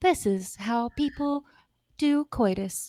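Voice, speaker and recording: A woman's put-on character voice, high-pitched and fairly slow, in a very clean recording with a silent background. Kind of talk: educational film narrator.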